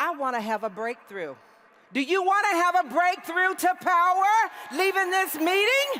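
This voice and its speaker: A woman uses a raised, projected voice with extremely high pitch and very wide pitch swings. Noticeable background noise is present. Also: moderate pace. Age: 60s. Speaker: convention speaker. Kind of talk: motivational speech.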